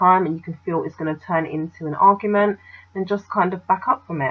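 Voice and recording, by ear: With a slightly husky edge, a woman speaks at a fairly quick pace with fairly even intonation.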